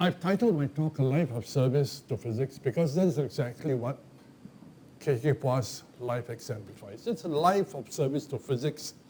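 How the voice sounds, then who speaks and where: Somewhat breathy and dark, mellow in tone, a man at a fairly high pitch speaks at a moderate pace with ordinary pitch variation. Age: old. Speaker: professor. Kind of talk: lecture. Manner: hesitant fillers (um, okay).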